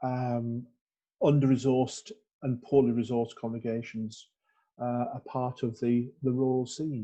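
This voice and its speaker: Speaking at a fairly slow pace with long, frequent pauses, a man uses a medium pitch, a dark, mellow tone and monotone, flat intonation. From northern England, North Yorkshire (Skipton). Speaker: Methodist minister. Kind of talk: interview. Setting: church. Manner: halting, many fillers and repeats.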